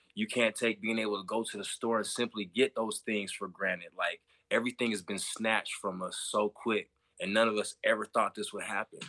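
A man at a fairly quick pace, dry and close with no echo. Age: 30s. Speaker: podcast guest. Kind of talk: casual chat.

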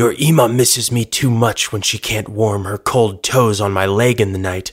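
A man whispers and growls in a put-on character voice at a moderate pace. The recording is very clean, with a silent background. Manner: fake whisper, teasing.

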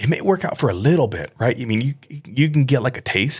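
The pace here is moderate. A somewhat breathy quality runs through the voice. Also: man. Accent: American. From US Midwest. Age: 30s. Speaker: podcast host. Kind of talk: testimony. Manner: halting.

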